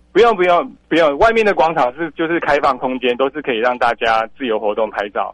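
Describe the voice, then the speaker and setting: A man in a Taiwanese accent, fairly high-pitched, at a fairly quick pace with very wide pitch swings. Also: hardly any pauses. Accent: Taiwanese Mandarin. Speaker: lighthouse director. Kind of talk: radio interview.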